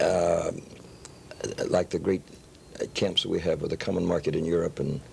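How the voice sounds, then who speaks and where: A man speaks over noticeable background noise. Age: 60s. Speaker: television host, preacher. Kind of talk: interview.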